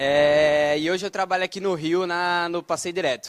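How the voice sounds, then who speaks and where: Heard in a dry, close sound with no echo, a man with a fairly high pitch speaks with a northeastern Brazilian accent. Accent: noticeable northeastern Brazilian. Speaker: debate moderator, software developer. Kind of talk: moderating a panel debate. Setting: stage with audience.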